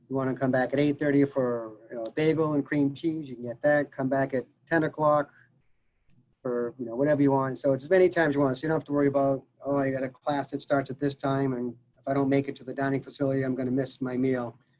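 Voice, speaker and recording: A man with a Massachusetts accent talks at a very fast pace. His pitch is fairly high and his intonation monotone and flat. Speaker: college dining services director. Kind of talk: casual interview Q&A. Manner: halting, many fillers.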